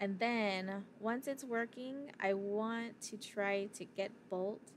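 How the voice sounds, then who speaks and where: A soft-spoken woman talks at medium pitch. Her pitch varies in an ordinary way. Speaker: livestreamer coding in a hackathon. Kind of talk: live coding stream chat. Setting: livestream at computer. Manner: halting.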